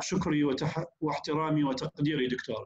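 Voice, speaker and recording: A man's voice, fairly high-pitched for a man. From Iraq. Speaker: professor. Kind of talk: formal introduction. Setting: video call. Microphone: video call.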